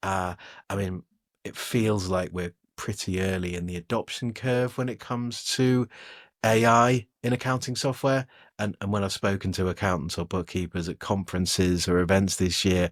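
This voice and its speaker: Someone with an English accent speaks at a moderate pace with ordinary pitch variation, in a very clean recording with a dry, close sound, no echo, and a silent background. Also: man, fairly low pitch for a man. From England. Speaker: technology editor and podcast co-host. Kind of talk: casual podcast chat. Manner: hesitant, lots of fillers and repeats.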